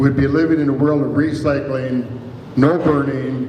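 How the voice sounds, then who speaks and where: Someone with an American accent speaks fairly slowly with fairly even intonation, amid audible room echo and noticeable background noise. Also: man. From US Midwest, Iowa. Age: 80s+. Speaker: local author and storyteller. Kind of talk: reading aloud. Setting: stage with audience.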